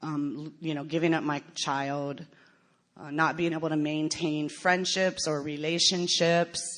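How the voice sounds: Her voice is low-pitched for a woman, with a fairly bright tone and fairly even intonation.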